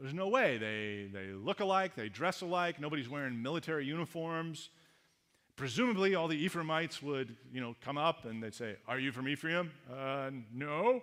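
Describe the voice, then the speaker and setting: A man talks in an ordinary speaking voice, fairly high in pitch. His pace is moderate and his intonation lively. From Canada. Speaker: pastor. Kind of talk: sermon.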